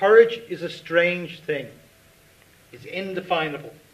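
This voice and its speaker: A man with an Irish accent, ordinary pitch variation and a moderate pace. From Dublin, Ireland. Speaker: writer. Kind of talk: reading of own short story at live event. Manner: reflective, measured. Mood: earnest, reflective, solemn. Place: stage.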